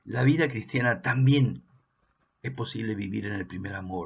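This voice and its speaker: With an Argentine accent and some vocal fry, a man speaks at a medium pitch and a fairly slow pace, his intonation lively. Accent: Argentine Spanish (voseo). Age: 60s. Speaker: pastor. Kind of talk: sermon.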